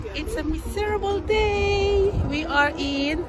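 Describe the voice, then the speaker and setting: A woman speaks with clear music in the background. The sound is dry, with no echo. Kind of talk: casual vlog chat. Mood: amused, laughing. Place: street. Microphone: phone near.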